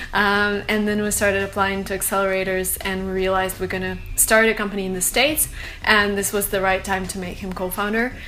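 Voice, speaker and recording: A woman with a Russian accent talks fairly quickly at a medium pitch in a monotone, flat way, with audible room echo and noticeable background noise. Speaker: startup co-founder. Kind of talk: interview. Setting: studio.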